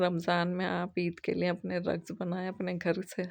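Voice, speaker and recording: Over a quiet background, a woman speaks at a fairly slow pace in a monotone, flat intonation. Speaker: craft and cooking YouTuber. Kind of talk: tutorial. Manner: casual, conversational.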